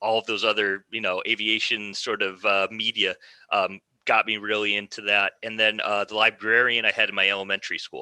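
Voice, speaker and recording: This man speaks with an American accent at a fairly quick pace, his fairly low pitch held in a flat monotone, the tone bright and sharp and the sound dry and close with no echo. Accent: American twang. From US Midwest, Michigan (Ann Arbor). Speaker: military historian. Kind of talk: podcast interview.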